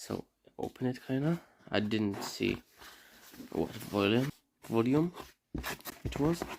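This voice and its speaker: A man with a non-native accent at a very slow pace, with long, frequent pauses and lively intonation. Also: medium pitch for a man. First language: not English. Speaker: unboxing YouTuber. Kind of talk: casual unboxing vlog. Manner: halting, many fillers.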